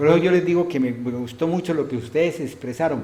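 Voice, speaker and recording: A somewhat breathy man with a dark, mellow tone talks at a fairly quick pace with ordinary pitch variation and audible room echo. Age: 70s. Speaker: pastor. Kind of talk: sermon. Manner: animated, rhetorical questions.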